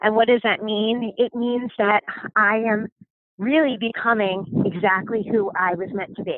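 A woman with a normal speaking voice, fairly high in pitch, with fairly even intonation at a moderate pace. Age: 30s. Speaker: podcast host and life coach. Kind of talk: casual solo monologue. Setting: outdoors on a walk.

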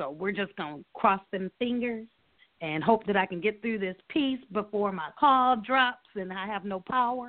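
A woman has an unremarkable speaking voice at medium pitch. She keeps a moderate pace. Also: lively intonation. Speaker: poet and teacher. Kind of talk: casual chat and poetry reading. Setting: phone call.

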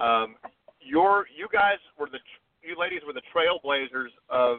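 A man speaks with an American accent and ordinary pitch variation. He has an unremarkable speaking voice. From US Midwest, Chicago area. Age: 50s. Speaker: golf resort media relations director. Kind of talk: casual interview.

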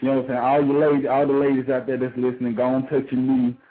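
Over noticeable background noise, a man with a Southern US accent talks at a very fast pace. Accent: Southern US accent, country. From South Carolina. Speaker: rapper. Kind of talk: casual interview. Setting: phone call.

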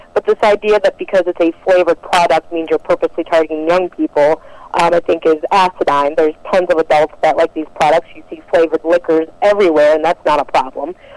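A woman with an American accent, fairly low in pitch, at a very fast pace with hardly any pauses, fairly even intonation and a dry, close sound with no echo. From Detroit, Michigan, US. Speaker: First Amendment attorney. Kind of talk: radio interview.

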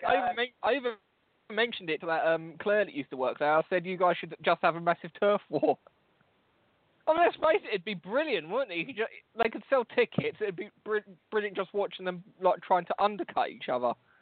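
The speaker has a London accent. The pace is moderate. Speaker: podcast host. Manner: loud, swears a lot.

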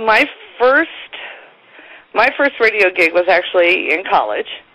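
Against noticeable background noise, a woman talks at a fairly slow pace and very even loudness, with long, frequent pauses. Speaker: morning radio co-host. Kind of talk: casual interview chat.

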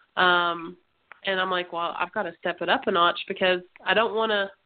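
Her voice is a normal speaking voice, a woman at medium pitch with fairly even intonation. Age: 30s. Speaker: women's tackle football player. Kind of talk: casual interview. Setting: internet radio show.

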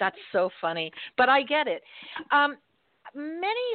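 Speaking in an American accent, a woman goes at a very slow pace. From Florida. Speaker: radio host. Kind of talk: casual interview. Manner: animated.

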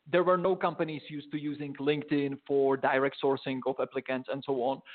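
Ordinary pitch variation marks a man's fairly high-pitched voice. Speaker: recruiting and sourcing trainer. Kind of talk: interview. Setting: call from a training room.

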